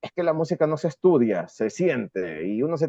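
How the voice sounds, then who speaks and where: A man talks at a moderate pace with a coastal Ecuadorian accent. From Ecuador, coast (Guayaquil). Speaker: rock musician. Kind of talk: interview.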